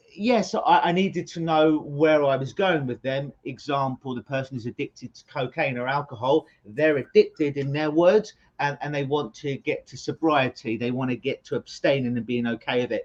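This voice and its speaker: The speaker has a London accent. There are hardly any pauses. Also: moderate pace. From England (London). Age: 40s. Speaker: hypnotherapist. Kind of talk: interview.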